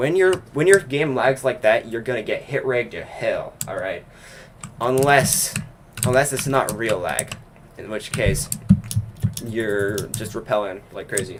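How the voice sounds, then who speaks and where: Over noticeable background noise, a man speaks at a fairly slow pace with lively intonation, big swings in loudness, and long, frequent pauses. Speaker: gaming livestreamer. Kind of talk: casual chat. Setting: livestream while gaming.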